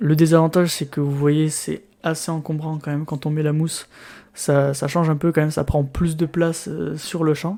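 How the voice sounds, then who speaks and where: A soft-spoken voice with a dark, mellow tone moves at a moderate pace. The intonation is monotone and flat. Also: man. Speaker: YouTuber reviewing gear. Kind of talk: unboxing tutorial. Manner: halting. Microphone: new USB mic, tested with foam and pop filter.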